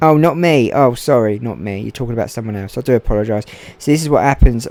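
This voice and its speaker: Music plays in the background as a man speaks quietly and very fast at a medium pitch, with ordinary pitch variation. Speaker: gaming streamer, race commentator. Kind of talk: live commentary.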